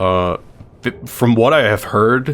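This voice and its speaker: A man is talking. His pitch variation is ordinary. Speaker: streamer. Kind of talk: gameplay commentary. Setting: live stream. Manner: casual, rambling.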